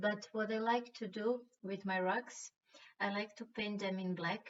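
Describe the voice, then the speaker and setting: A woman with a Croatian accent speaks at a fairly slow pace in a monotone, flat intonation. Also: medium pitch for a woman. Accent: Croatian accent (self-described as bad). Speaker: rock painting artist. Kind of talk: tutorial. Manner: hesitant, with fillers and restarts.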